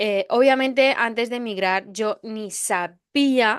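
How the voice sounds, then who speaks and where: The sound is dry and close, without any echo. Her pitch varies in an ordinary way as the woman talks. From Spain (arrived at 11 from another country). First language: not Spanish (learned Spanish at 11) (speaking Spanish). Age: 20s. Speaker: podcast host. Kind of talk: personal storytelling monologue. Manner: hesitant, many fillers.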